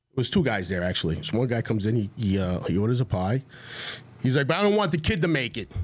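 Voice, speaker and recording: Here a man with a New York accent talks at a very fast pace. His medium pitch moves in very wide swings. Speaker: restaurant owner. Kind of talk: casual chat.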